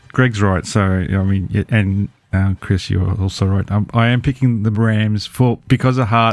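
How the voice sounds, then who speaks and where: With an Australian accent, a man speaks very slowly in a fairly low pitch with fairly even intonation. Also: very even loudness. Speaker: podcast guest, NFL fan. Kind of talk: casual chat. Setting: remote call from Australia, early morning. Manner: halting, many fillers.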